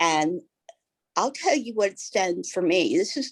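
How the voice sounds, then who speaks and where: A woman's voice swings very widely in pitch. The recording is dry and close, with no echo. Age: 60s. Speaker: network marketing leader. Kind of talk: interview on a training call. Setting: call.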